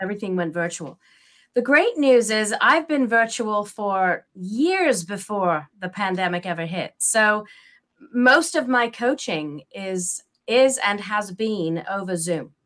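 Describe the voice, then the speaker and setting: On a very clean recording with a silent background, a woman with a slight English accent speaks very slowly at medium pitch with lively intonation. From England. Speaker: parent and teen coach. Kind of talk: interview.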